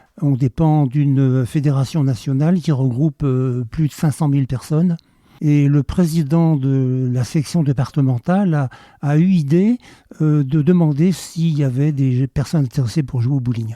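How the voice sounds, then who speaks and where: A man speaks at a fairly slow pace with a fairly high pitch, a dark, mellow tone, very even loudness, and a dry, close sound with no echo. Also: ordinary pitch variation. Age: 70s. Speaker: senior bowling club member. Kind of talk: casual interview. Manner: hesitant, many filler sounds.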